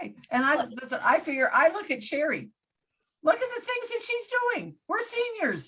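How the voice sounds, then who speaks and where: Raising and projecting her voice, a woman speaks at an extremely high pitch in a bright, sharp tone with very wide pitch swings. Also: moderate pace. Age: 70s. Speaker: talk show host. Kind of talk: casual chat.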